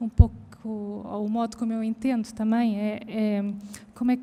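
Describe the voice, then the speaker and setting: A soft-spoken woman's fairly high voice, monotone and flat in intonation. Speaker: arts educator. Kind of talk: public conversation. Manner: halting, many fillers.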